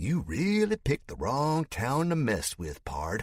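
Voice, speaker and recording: Putting on a character voice in a Southern US accent, a man speaks at a medium pitch with very wide pitch swings and a fairly slow pace, in a dry, close sound with no echo. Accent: Southern drawl. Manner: soft, menacing.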